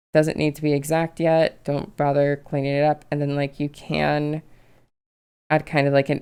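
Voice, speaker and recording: A woman's very deep, low-pitched voice at a moderate pace. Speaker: digital artist. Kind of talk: tutorial. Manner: casual, filler-heavy.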